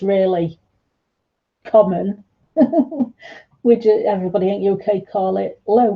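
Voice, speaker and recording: With a medium pitch and fairly even intonation, a woman speaks in a somewhat breathy voice. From northern England, South Yorkshire / North Derbyshire. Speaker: art tutor live-streaming. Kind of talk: casual live-stream chat while painting.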